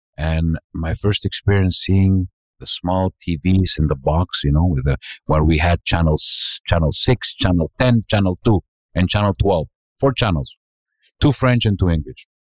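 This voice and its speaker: In a Greek accent, a man speaks at a moderate pace with a very deep, low pitch and lively intonation. The sound is dry and close, with no echo. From Montreal, Quebec (Greek-born, arrived age 6). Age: 60s. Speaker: restaurant owner. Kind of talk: podcast interview. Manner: halting, many fillers.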